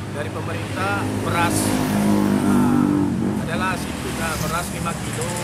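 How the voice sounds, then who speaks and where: Behind the speaker, background noise runs loud. The speaker is a man. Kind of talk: interview answer. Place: street.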